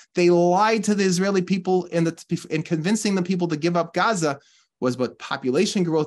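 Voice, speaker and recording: Here a man talks at a fairly quick pace. His pitch is high, with ordinary pitch variation. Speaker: religious teacher. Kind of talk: sermon. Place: home room. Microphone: webcam.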